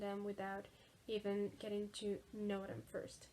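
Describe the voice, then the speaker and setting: A woman in a Spanish accent speaks at a fairly high pitch. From Mexico. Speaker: video presenter. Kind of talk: scripted narration.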